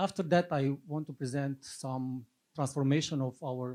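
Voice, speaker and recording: In a Russian accent, a man speaks at a moderate pace with a dark, mellow tone and a fairly high pitch. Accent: Russian-sounding. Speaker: army officer and lecturer. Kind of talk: conference presentation.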